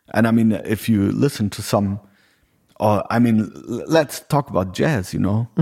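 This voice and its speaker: A man speaks with an ordinary speaking voice at a fairly low pitch. His pace is moderate and his pitch variation ordinary. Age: 40s. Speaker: podcast host and musician. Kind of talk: casual chat. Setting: home.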